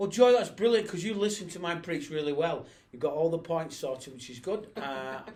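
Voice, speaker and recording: Someone with a Lancashire accent talks at a fairly quick pace with lively intonation, with audible room echo around the voice. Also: man, high pitch for a man, big swings in loudness. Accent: northern English (Bolton). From northern England, Bolton. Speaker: pastor. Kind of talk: casual chat.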